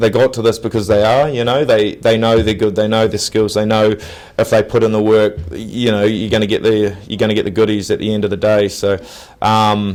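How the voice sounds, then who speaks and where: A man speaks with a New Zealand accent at a fairly quick pace. His pitch is fairly low, and his intonation stays fairly even. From New Zealand, Nelson. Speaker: professional rugby player. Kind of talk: interview. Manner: casual, halting with many fillers.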